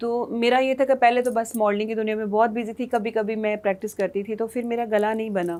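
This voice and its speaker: A woman's fairly high, monotone, flat delivery at a fairly quick pace with hardly any pauses. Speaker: singer and former model. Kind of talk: TV talk show interview.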